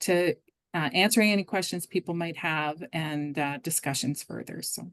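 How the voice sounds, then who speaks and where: A woman at a moderate pace with ordinary pitch variation, her voice dry and close with no echo against a quiet background. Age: middle-aged. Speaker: recruiter. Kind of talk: presentation. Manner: halting, many fillers.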